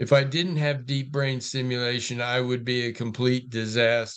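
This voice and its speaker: Using an unremarkable speaking voice, a man talks at a moderate pace with medium pitch and fairly even intonation. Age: 60s. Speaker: Parkinson's patient. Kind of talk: group discussion.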